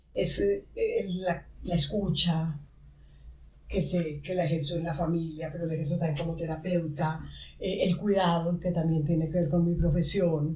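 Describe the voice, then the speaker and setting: A woman speaks fairly slowly with a fairly low pitch and fairly even intonation. Audible room echo surrounds her voice. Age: 70s. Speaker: podcast host and therapist. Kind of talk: podcast conversation. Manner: halting.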